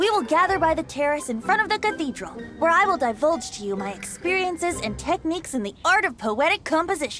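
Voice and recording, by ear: A woman's put-on character voice at an extremely high pitch, with big pitch swings, a bright, sharp tone and a fairly quick pace over faint music in the background. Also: few pauses.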